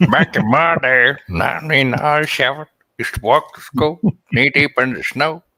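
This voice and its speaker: A man puts on a character voice, pitched fairly high for a man and delivered at a moderate pace. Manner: reminiscing, grumbling.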